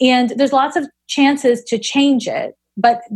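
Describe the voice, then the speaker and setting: This woman speaks with a Canadian accent at a moderate pace. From Canada, Montreal. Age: 40s. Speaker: astrologer and psychic medium. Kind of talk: interview conversation.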